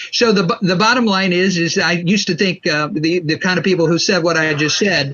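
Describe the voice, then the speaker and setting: Against noticeable background noise, a man with a high voice talks with ordinary pitch variation. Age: 60s. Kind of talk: interview. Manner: halting.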